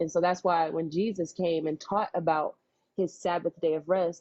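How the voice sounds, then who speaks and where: A woman's fairly low voice, a normal speaking voice, at a moderate pace with fairly even intonation. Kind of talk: religious teaching, live-stream response to a viewer.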